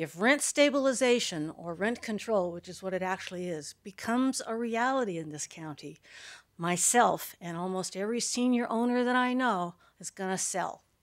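In a normal speaking voice, a woman with a medium pitch talks at a moderate pace with lively intonation and big swings in loudness, on a very clean recording with a silent background. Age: 60s. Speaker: retired landlord, public commenter. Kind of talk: public comment at meeting. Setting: county board meeting.

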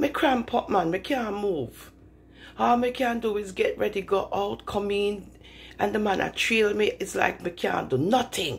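Using lively intonation, a woman speaks at a fairly slow pace with vocal fry. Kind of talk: acted phone call monologue. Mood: distressed, pleading. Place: home room.

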